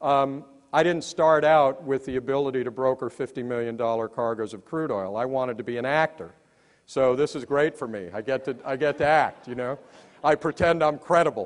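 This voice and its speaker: The speaker is a man with a medium pitch. He talks at a fairly quick pace with ordinary pitch variation. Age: 60s. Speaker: company founder. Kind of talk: motivational speech. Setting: stage with audience. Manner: off the cuff.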